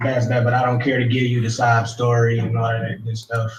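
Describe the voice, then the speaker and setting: A man speaks quietly. His pitch is medium. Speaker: defendant. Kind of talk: court hearing. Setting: courtroom.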